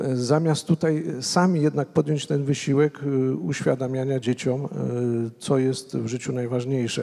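Things are quiet in the background. The talking goes at a fairly slow pace, its pitch varying in an ordinary way. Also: man, medium pitch for a man. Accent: Polish. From Poland. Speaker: association president, panelist. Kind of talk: panel debate. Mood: calm, earnest. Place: hall. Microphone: handheld.

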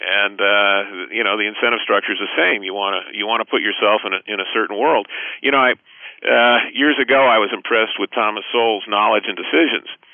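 Pitched fairly low, a man speaks at a fairly quick pace with ordinary pitch variation. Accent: American. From US West Coast, Los Angeles. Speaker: economics professor. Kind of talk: interview. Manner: halting, many fillers and repeats.

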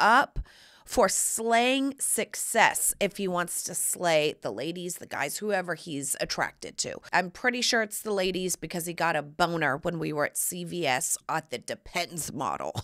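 Over a quiet background, a woman with a fairly low pitch and a bright, sharp tone speaks at a fairly slow pace, her pitch swinging very widely. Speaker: podcast host. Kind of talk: casual podcast monologue. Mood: playful, joking. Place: studio. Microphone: studio mic.

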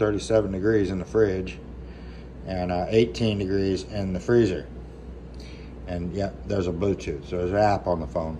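Very deep, low male voice at a moderate pace over light background noise. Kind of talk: casual vlog chat. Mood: relaxed, joking, swearing. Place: home room. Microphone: phone near.

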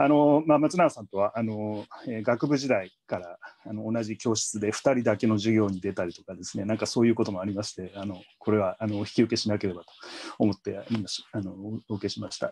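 A man with a fairly low pitch is talking. He keeps a fairly quick pace and ordinary pitch variation. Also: big swings in loudness. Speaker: Middle East historian, professor. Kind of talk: academic panel commentary. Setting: video call. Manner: hesitant, many fillers. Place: home room. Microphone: video call.

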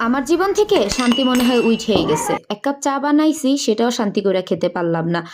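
A woman with a high voice and very wide pitch swings. Her loudness stays very even over noticeable background noise. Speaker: lifestyle vlogger. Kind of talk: vlog narration. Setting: at home. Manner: casual, chatty.

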